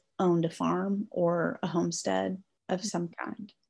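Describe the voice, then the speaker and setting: A woman is speaking. She has an American accent. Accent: Southern US, stronger lately. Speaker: author. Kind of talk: casual interview conversation.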